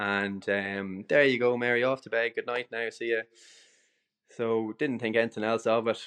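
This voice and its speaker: With a north Leinster accent, a man speaks at a moderate pace and medium pitch in a flat monotone, recorded dry and close with no echo against a quiet background. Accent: Irish (north Leinster). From Ireland, Dundalk (County Louth). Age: 30s. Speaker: cafe and restaurant owner. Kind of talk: interview. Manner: casual, frequent repetitions and fillers.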